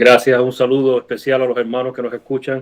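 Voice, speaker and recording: At a moderate pace, a man talks in a Cuban accent. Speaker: lay preacher. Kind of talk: greeting in discussion.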